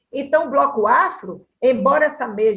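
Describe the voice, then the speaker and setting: A woman speaks at a moderate pace in an animated tone with lively intonation. Her voice is somewhat breathy. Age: 60s. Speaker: dance researcher. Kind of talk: panel discussion.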